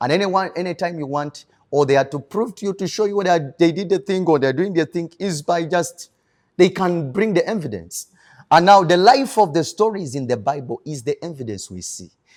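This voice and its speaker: A man speaks at a fairly quick pace. His pitch is high and his intonation lively. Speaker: pastor. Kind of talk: testimony. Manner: halting.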